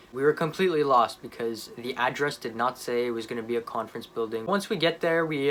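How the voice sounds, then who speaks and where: A man at a fairly quick pace. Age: 20s. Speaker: young entrepreneur vlogger. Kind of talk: casual vlog monologue. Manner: fast; animated.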